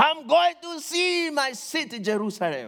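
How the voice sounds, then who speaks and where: A man speaks with very wide pitch swings. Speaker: visiting preacher. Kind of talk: sermon. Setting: church with audience. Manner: slow, deliberate.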